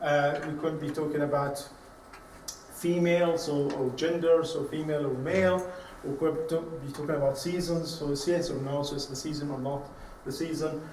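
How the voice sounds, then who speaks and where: Amid noticeable background noise and audible room echo, a man speaks at a moderate pace and a fairly high pitch with monotone, flat intonation. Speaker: university lecturer. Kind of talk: lecture. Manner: halting.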